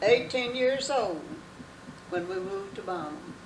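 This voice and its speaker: Very slowly and with ordinary pitch variation, a woman speaks in a Southern US accent against noticeable background noise and audible room echo. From North Carolina. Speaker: longtime resident. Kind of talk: interview.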